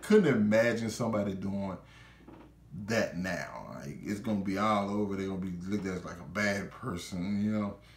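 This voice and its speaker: A man with a fairly low pitch speaks in an animated tone at a moderate pace, his loudness swinging widely amid audible room echo. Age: 20s. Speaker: YouTuber reviewer; video reviewer. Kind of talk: casual video review monologue; casual review commentary. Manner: animated, informal. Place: home room.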